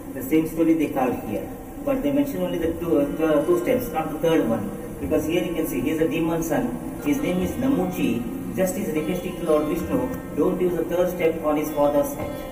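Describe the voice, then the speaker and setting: A man talks at a fairly quick pace in a high pitch. Audible room echo and noticeable background noise surround him. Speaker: tour guide. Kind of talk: guided tour explanation. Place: tunnel cave. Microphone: phone near.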